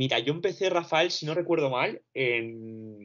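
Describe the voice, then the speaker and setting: A fairly high-pitched man talks at a very slow pace. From Barcelona, Spain (born in Romania, moved at two). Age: 20s. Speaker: university student recovering from anxiety. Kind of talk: testimony.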